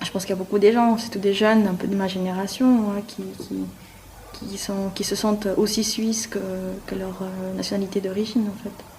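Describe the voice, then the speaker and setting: The delivery comes at a moderate pace with monotone, flat intonation. Audible room echo and noticeable background noise sit around the voice. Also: woman, medium pitch for a woman. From Peru, then Geneva from childhood. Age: 20s. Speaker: police recruit. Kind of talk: interview. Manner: halting.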